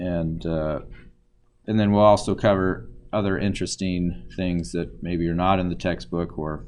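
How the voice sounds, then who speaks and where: Very deep and low in pitch, a man speaks at a fairly slow pace with ordinary pitch variation and audible room echo. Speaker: university statistics lecturer. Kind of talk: lecture. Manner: halting, many fillers.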